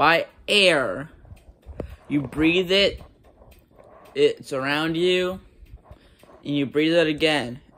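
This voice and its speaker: A man speaks at a very slow pace with long, frequent pauses. His pitch varies in an ordinary way. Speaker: food reviewer vlogger. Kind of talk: casual vlog chat. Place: home room. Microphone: phone near.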